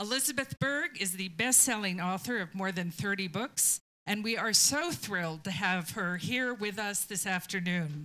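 Bright, sharp tone from a woman, ordinary in its pitch variation. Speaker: library staff host. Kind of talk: event introduction. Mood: warm, lightly humorous. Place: meeting room. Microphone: handheld.

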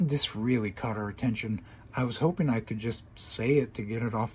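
The pitch moves with ordinary variation. It is a natural reading voice.

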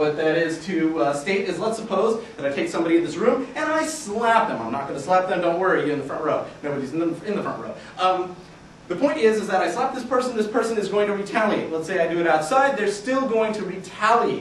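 A man with a high pitch talks at a very fast pace, his intonation lively. Audible room echo and light background noise surround him. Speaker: researcher. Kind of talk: research presentation to a live audience. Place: classroom.

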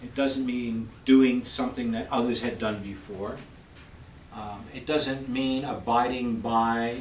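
A man's fairly even intonation, with audible room echo and light background noise. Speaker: university professor. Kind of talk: lecture. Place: classroom.

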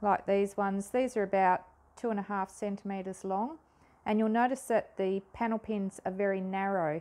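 Speaking at a moderate pace, a woman uses a dark, mellow tone and fairly even intonation. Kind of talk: tutorial. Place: workshop.

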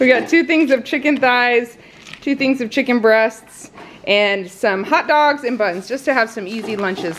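A high-pitched woman's voice over light background noise. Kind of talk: casual vlog chat. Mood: cheerful, light laughter. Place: home room. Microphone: phone near.

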